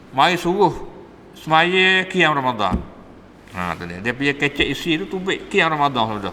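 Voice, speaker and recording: The speaker is a man. He talks in a Patani accent. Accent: Patani Malay (Kelantan-Patani dialect). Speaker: religious teacher. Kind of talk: religious lecture. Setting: mosque. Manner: casual, conversational.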